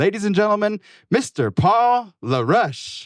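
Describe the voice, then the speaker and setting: The pitch moves in very wide swings. The sound is dry and close with no echo, on a very clean recording with a silent background. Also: man. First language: Lakota. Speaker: dancer and emcee. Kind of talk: stage introduction. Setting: stage with audience.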